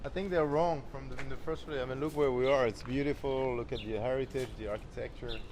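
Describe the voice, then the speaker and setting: The delivery is very fast with hardly any pauses. Pitch moves in an ordinary way. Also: man, medium pitch for a man. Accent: French. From France, Champagne region. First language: French. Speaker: champagne brand co-founder. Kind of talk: interview.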